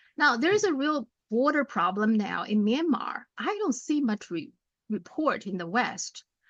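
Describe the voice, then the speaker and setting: Speaking at a fairly slow pace, a woman with a non-native accent uses a high voice with very wide pitch swings. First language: not English. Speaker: political commentator. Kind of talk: casual chat.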